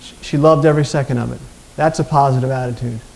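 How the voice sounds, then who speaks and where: A man with an American accent and a fairly high pitch, talking at a very fast pace over noticeable background noise. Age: 50s. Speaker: motivational speaker. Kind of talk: conference talk.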